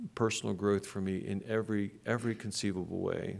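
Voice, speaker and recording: Speaking with an American accent, a man uses a normal speaking voice that is fairly low in pitch, with fairly even intonation. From western Pennsylvania. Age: 60s. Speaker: pastor. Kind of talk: sermon. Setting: church.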